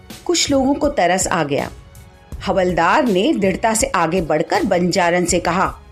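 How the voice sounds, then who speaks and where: A woman at medium pitch, her loudness very even, with music in the background. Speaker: theatre actor. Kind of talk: short story reading.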